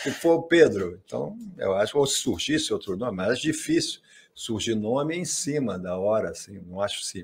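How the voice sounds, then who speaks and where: A somewhat breathy man talks at a moderate pace with very wide pitch swings. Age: old. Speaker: football club figure and former sponsor; podcast guest. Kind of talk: casual interview. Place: studio. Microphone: studio mic.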